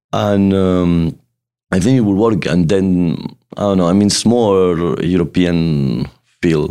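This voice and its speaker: In a Spanish accent, a man speaks at a fairly slow pace with a very deep, low pitch, a dark, mellow tone and ordinary pitch variation. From Spain. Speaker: nightclub and restaurant owner. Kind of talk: casual interview.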